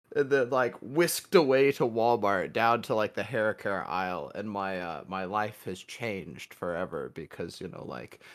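A man with a plain, everyday voice speaks at a fairly slow pace in a fairly low pitch, his intonation lively. The recording is very clean, with a silent background. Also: hardly any pauses, big swings in loudness. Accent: American. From US Midwest. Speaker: podcast co-host. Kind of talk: casual chat.

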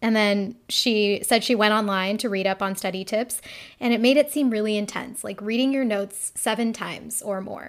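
In a very clean recording with a silent background, a woman with an unremarkable speaking voice talks at a fairly high pitch with fairly even intonation. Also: moderate pace. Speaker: podcast host and medical student. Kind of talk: casual interview chat; podcast intro and outro monologue.

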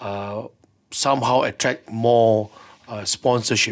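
A man of medium pitch with a Malaysian accent in a very clean recording with a silent background. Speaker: sports lawyer. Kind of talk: radio interview. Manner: hesitant, many fillers.

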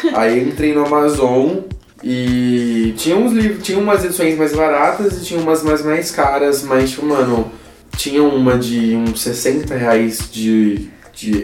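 Over noticeable background noise and audible room echo, a man speaks fairly slowly at medium pitch with lively intonation. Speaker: podcast co-host. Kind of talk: casual chat.

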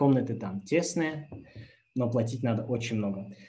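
Somewhat breathy and dark, mellow in tone, a man with a medium pitch talks at a fairly slow pace. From Kazakhstan. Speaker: former engineer sharing experience of working abroad. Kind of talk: webinar talk with Q&A. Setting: YouTube livestream.

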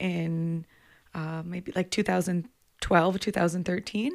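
Set in a very clean recording with a silent background, an ordinary speaking voice with a Canadian accent keeps fairly even intonation at a moderate pace. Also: woman. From southwestern Ontario, Canada. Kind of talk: casual interview conversation.

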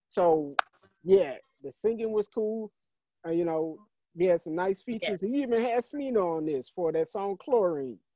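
An American man speaks at a moderate pace with a high pitch, dark, mellow tone and lively intonation. He takes long, frequent pauses, and the sound is dry and close with no echo. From St. Louis, US Midwest. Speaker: podcast co-host. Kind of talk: casual chat. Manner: animated.

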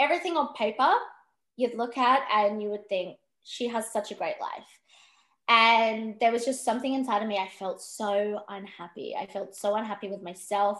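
A woman with an Australian accent speaks in a fairly high pitch, with ordinary pitch variation. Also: moderate pace, quiet background. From Western Australia, Perth. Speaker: empowerment coach and podcaster. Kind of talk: interview conversation.

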